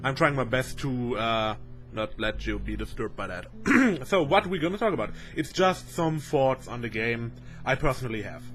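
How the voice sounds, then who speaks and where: A man speaks with a German accent at a moderate pace. His pitch is medium and his intonation lively. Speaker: video game commentator. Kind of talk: casual video commentary. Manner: halting, many fillers.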